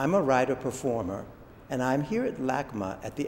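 Light background noise is present. Through it comes a man's voice. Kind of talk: introduction to a performance. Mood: calm, warm, measured. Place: hall.

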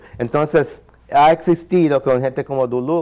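A man talks with an English accent. The background is quiet. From New York. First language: English (speaking Spanish). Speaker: ethnomusicologist and saxophonist; guest. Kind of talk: interview. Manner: halting. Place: studio. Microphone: lapel.

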